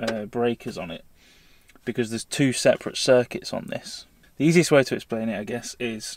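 At a moderate pace and with ordinary pitch variation, the voice comes through dry with no echo over light background noise. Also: man. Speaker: van-life vlogger. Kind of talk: casual tutorial vlog. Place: car. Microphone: phone near.

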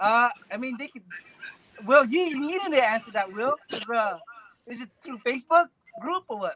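Raising and projecting his extremely high voice, a man speaks at a moderate pace with big swings in loudness, in a dry, close sound with no echo. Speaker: paintball player. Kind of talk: casual chat. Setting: video call.

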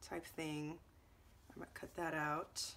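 Over light background noise, a woman talks at a fairly slow pace in a strained voice. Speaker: scrapbooking video creator. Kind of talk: product unboxing. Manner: casual, halting with ums; restrained to avoid coughing.

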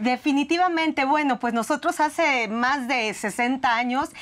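With ordinary pitch variation, a woman talks at a high pitch. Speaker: resort company executive. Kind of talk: interview. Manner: enthusiastic. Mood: warm, upbeat. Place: studio. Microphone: lapel.

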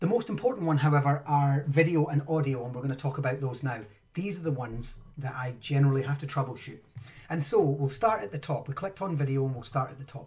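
Someone talks at a very fast pace with a Scottish accent. Pitch varies in an ordinary way while loudness swings widely. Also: man. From Scotland. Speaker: Minecraft education trainer and live streamer. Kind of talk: live-streamed tutorial. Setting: home studio, live stream. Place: home room.

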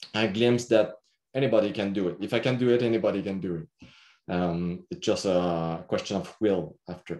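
Lively intonation marks a man's fairly low voice, delivered at a moderate pace. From Quebec. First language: French. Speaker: agronomist; presenter. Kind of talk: workshop presentation. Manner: halting, many fillers. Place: home room. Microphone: webcam.

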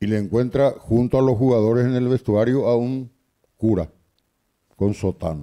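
A man talks at a moderate pace and medium pitch. His tone is dark and mellow, with ordinary pitch variation.

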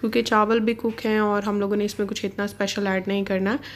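A woman keeps a moderate speed, her intonation flat and monotone. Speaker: vlogger; home cooking vlogger. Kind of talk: cooking vlog narration. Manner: casual, hesitant fillers. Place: kitchen.

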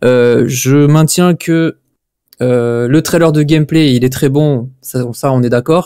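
Against a quiet background, a man with a dark, mellow tone speaks at a very slow pace, the sound dry with no echo. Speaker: football video game commentator. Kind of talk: casual live-stream debate. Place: home room. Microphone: studio mic.

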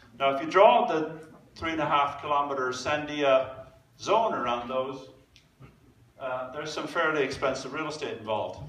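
Moving at a moderate pace with ordinary pitch variation, a man leaves long, frequent pauses in a room with audible echo. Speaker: public presenter. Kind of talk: lecture. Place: hall.

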